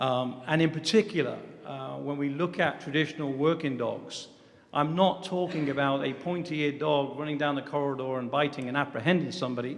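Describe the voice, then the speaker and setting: A man with an English accent talks at a fairly quick pace and a fairly high pitch. Noticeable background noise is present. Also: fairly even intonation. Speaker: security dog company president. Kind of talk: formal briefing. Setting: government commission hearing. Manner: hesitant with fillers.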